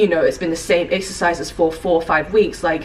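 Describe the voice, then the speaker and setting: Fairly low in pitch, a woman talks at a fairly quick pace in a monotone, flat intonation. Noticeable background noise sits behind her. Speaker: fitness vlogger and coach. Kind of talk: casual vlog talk.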